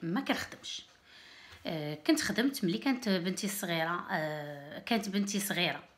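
The pace is fairly slow. This woman's pitch moves in very wide swings. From Morocco, Berrechid; Morocco. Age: 30s. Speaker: YouTuber; vlogger. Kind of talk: casual vlog talk to camera. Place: home room. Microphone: phone near.

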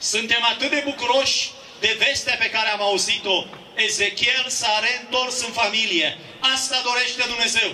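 A man speaks at a fairly slow pace in a raised, projected voice, his pitch extremely high and his intonation fairly even, with light background noise. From Romania. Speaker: pastor. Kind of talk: rally speech with prayer. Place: street. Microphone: handheld.

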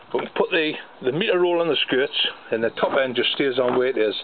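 A man speaks at a very fast pace while light background noise sits underneath. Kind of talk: casual vlog chat. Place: garden. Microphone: phone near.

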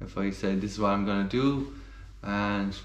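A man's voice shows ordinary pitch variation, with audible echo from the room. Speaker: amateur runner vlogger. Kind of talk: casual vlog chat. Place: kitchen. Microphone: phone near.

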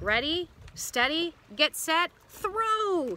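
Someone performs a put-on character voice at a very slow pace, with a bright, sharp tone and big pitch swings. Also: woman, extremely high pitch for a woman.

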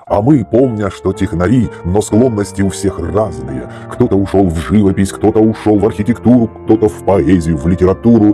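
The voice moves at a moderate pace with ordinary pitch variation. Music plays in the background. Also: man, fairly low pitch for a man. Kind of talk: narration over slideshow.

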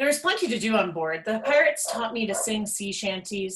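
Lively intonation in plain reading aloud

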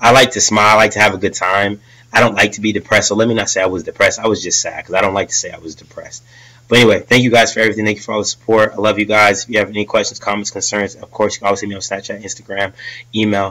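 A man talks at a very fast pace in a fairly low voice. His tone is bright and sharp, and his intonation is monotone and flat. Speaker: vlogger, army officer candidate; vlogger, candidate. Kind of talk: casual vlog talk to camera. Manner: halting, filler-heavy. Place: home room. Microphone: webcam.

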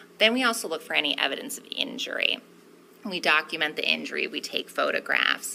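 A woman at a moderate pace, over light background noise. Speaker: witness. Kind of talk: testimony answer. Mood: calm, explanatory, professional. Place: hall. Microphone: podium.

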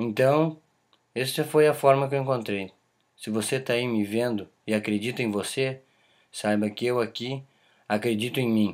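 Against a quiet background, a man with a medium pitch speaks at a moderate pace with fairly even intonation and long, frequent pauses. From southern Brazil, Caxias do Sul (Rio Grande do Sul); Rio Grande do Sul, Brazil. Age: 20s. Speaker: aspiring footballer. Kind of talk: self-promotional video pitch. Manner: emphatic, confident. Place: home room. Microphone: webcam.

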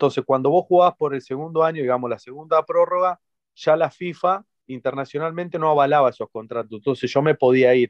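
A man with an Argentine accent and a fairly high pitch at a fairly quick pace, dry sound with no echo and a quiet background. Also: ordinary pitch variation. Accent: Argentine Spanish (voseo). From Argentina. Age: 30s. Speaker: retired footballer; interviewee. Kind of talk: interview. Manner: halting, many repetitions. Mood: calm, reflective. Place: home room. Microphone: video call.

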